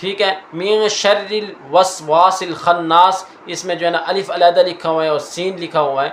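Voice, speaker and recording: Noticeable background noise sits under a man's voice. His pitch is high, and his intonation is fairly even. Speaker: Quran teacher and reciter (qari). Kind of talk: Urdu teaching lecture to an audience. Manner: clear, explanatory teaching pace.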